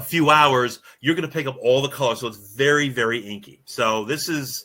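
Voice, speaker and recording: With an American accent, a man speaks in a bright, sharp tone at a medium pitch. His pace is fairly quick, and his pitch variation is ordinary. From New York, Hudson Valley (Newburgh). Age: 60s. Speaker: winemaker. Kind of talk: casual chat.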